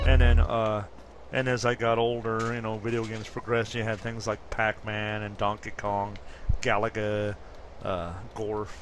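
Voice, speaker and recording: Monotone, flat intonation marks this voice. It belongs to a man. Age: 50s. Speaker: gaming commentator. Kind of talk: gameplay commentary. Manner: casual, hesitant with fillers.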